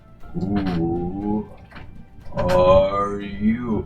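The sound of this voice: The voice is a put-on character voice, low in pitch, loud and booming. Background noise comes through clearly.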